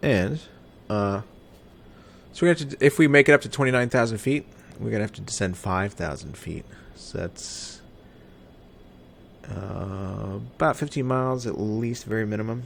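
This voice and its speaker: A man with an American accent and a fairly low pitch speaks at a moderate pace with lively intonation, big swings in loudness and long, frequent pauses. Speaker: flight simulator streamer. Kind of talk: live gameplay commentary.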